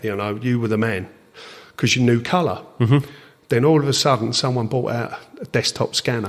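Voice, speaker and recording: Here a man speaks with an Essex accent. His pace is fairly quick, and his pitch varies in an ordinary way. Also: medium pitch for a man. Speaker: drag racing timer, aircooled VW enthusiast. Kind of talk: podcast interview answer.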